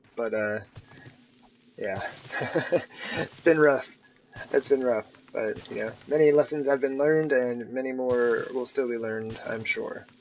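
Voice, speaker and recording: Long, frequent pauses break up a man's speech amid noticeable background noise. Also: medium pitch for a man, fairly even intonation, fairly slow pace. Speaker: gaming streamer. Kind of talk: live gameplay commentary.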